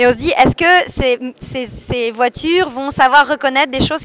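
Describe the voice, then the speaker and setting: A woman raises and projects her high-pitched voice, with ordinary pitch variation. The sound is dry and close with no echo, though background noise is noticeable. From France, Paris. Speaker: art curator. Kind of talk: radio interview.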